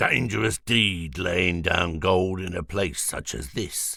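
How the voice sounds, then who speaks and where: Growling in a put-on character voice, a man speaks at a fairly slow pace with a very deep, low pitch and lively intonation, on a very clean recording with a silent background. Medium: read story.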